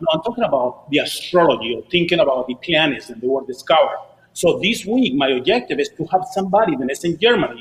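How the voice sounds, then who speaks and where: A man with a Spanish accent, high-pitched and very fast, with very wide pitch swings and noticeable background noise. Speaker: DJ and Spanish-language show host. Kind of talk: casual chat. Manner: animated.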